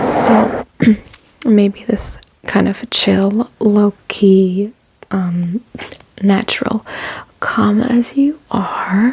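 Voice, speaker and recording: Soft-spoken and relaxed, the voice moves at a very slow pace with long, frequent pauses. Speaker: ASMR creator with chronic illness. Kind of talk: casual ASMR talk to camera. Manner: soft-spoken, relaxed.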